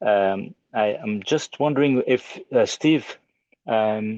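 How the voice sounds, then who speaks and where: A man with a French accent and ordinary pitch variation, in a dry, close sound with no echo. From Belgium. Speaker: audience member asking a question. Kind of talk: question in online Q&A. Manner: halting, many repetitions.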